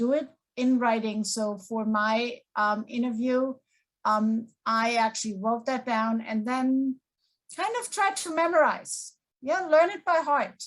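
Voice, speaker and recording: A woman's high-pitched voice with lively intonation at a fairly slow pace. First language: non-English. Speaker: community college faculty panelist. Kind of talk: panel discussion.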